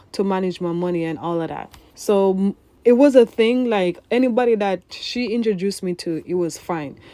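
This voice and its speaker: A woman speaks with a Jamaican accent at a medium pitch and a moderate pace. Her tone is dark and mellow, with ordinary pitch variation. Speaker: vlogger. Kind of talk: personal storytelling voiceover. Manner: casual.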